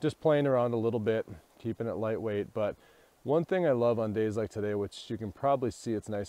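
Dry and echo-free, this dark, mellow voice moves at a fairly quick pace with ordinary pitch variation. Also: man. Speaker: vlogger photographer. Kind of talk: casual vlog chat. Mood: reflective, slightly subdued. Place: forest. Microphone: earbuds.

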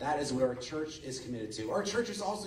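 A man is talking. Audible room echo and light background noise surround his voice. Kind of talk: announcements to a congregation. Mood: friendly, lightly joking. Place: church.

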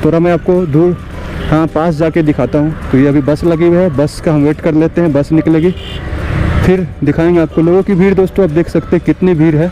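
Clear background noise sits behind a man's fairly high-pitched voice. He talks at a fairly quick pace with fairly even intonation.

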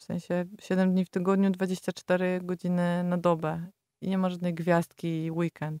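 A woman with a dark, mellow tone and fairly low pitch speaks at a fairly slow pace in a monotone, flat intonation, recorded with a dry, close sound and no echo. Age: 30s. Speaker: yoga teacher. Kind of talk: casual chat.

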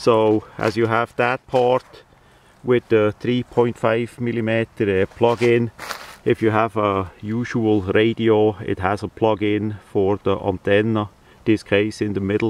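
On a dry, close recording with no echo, a man speaks fairly slowly in a fairly low pitch and a slightly mellow tone, with little pitch movement.

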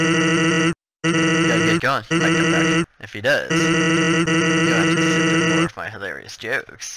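A man's put-on character voice, fairly high in pitch and fairly slow, with a slight echo. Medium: actual play. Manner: laid-back, casual.

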